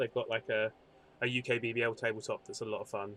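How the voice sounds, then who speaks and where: Over music in the background, a man with a British accent talks at a medium pitch. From Britain. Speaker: gaming stream host. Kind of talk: casual podcast chat. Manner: halting, repeats words.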